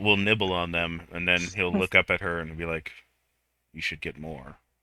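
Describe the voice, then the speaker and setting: A man in a put-on character voice talks at a moderate speed, his pitch very deep and low. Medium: actual play.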